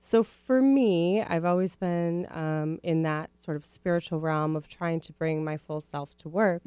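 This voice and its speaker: A woman with a Midwestern US accent speaks at a fairly slow pace in a fairly low pitch, her tone dark and mellow, her pitch varying in an ordinary way, hardly pausing, in a dry, close recording with no echo. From Minneapolis, US Midwest. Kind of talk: radio interview.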